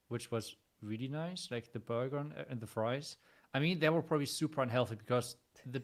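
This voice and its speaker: A very clean recording against a silent background, with pitch that moves in an ordinary way. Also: man. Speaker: esports player. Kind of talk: casual chat. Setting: live stream. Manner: quiet.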